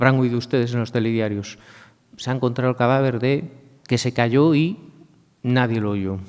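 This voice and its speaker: Long, frequent pauses break up this man's speech. He has a Galician accent and fairly even intonation. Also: medium pitch for a man, moderate pace. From Galicia, Spain. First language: Galician (speaking Spanish). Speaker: law professor. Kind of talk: conference talk.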